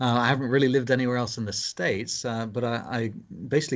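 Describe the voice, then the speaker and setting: The speaker is a man with a British accent. His intonation stays fairly even. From England (London). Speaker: pastor. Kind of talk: interview conversation. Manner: halting, many fillers.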